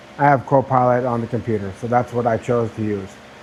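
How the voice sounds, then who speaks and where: Medium pitch from a man's speaking voice. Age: 60s. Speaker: YouTuber, laid-off engineer. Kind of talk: personal vlog monologue. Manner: conversational, with filler words.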